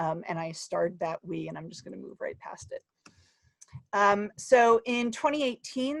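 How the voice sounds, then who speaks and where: In a New Jersey accent, a woman speaks with a dry, close sound and no echo. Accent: New Jersey American. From US, New Jersey. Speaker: academic researcher. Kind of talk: conference talk. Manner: fast.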